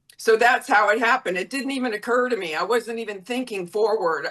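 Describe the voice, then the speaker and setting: A woman with an American accent speaks at a fairly high pitch. Her tone is bright and sharp, with ordinary pitch variation. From US South, Florida. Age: 60s. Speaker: former model and modeling agent. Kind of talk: interview.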